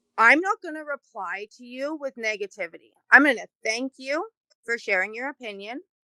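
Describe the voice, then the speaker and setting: A woman with a high pitch and a bright, sharp tone speaks at a moderate pace with lively intonation. Her loudness swings widely, and the sound is dry and close with no echo. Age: adult. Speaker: community group president. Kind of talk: casual interview.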